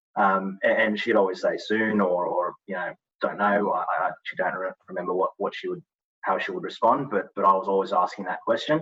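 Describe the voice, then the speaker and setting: With an Australian accent, a man moves through his words at a fairly quick pace. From Australia, after early childhood in Malawi. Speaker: touch football player. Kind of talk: interview.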